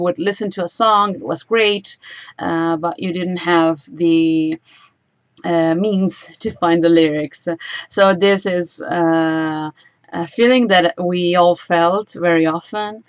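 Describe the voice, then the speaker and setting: A woman speaks with an Italian accent at a very slow pace. Her pitch is fairly low, with ordinary variation. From Italy. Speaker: singer and YouTuber. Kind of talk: livestream Q&A. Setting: livestream. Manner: frequent fillers, hesitant.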